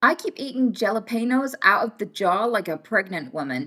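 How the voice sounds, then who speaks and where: Using vocal fry, a woman of fairly high pitch talks at a moderate pace with very wide pitch swings. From Britain. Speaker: livestreamer. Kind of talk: casual chat. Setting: livestream.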